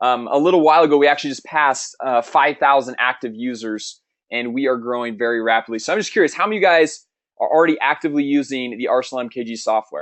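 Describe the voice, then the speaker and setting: A man talks at a very fast pace. His voice is at medium pitch with ordinary pitch variation. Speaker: webinar host, marketing trainer. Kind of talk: sales webinar. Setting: online webinar. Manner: animated.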